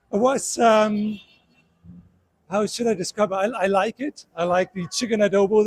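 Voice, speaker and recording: A man with a high pitch and a German accent. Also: dry, close sound with no echo. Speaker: tourist. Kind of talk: street interview. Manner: halting.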